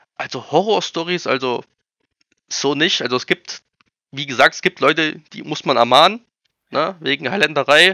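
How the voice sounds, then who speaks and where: A man with a fairly high pitch and a bright, sharp tone talks at a moderate pace, his pitch variation ordinary. His loudness swings widely, he takes long, frequent pauses, and the sound is dry and close with no echo. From eastern Germany, Erfurt area. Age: 30s. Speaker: airsoft field operator. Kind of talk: podcast interview.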